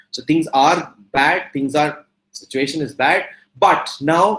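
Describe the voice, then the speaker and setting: A man speaks with an Indian accent. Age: 40s. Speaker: entrepreneur and motivational speaker. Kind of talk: guest talk to students. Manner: animated.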